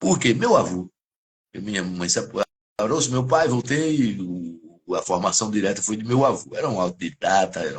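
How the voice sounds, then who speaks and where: This is a normal speaking voice with lively intonation. Its loudness swings widely. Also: man, fairly low pitch for a man, moderate pace. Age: 60s. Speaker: criminal lawyer. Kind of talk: live interview discussion.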